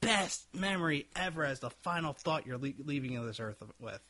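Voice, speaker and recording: In an American accent, a man with a fairly high pitch speaks at a moderate pace in an unremarkable speaking voice. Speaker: podcast co-host. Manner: loud, projects voice.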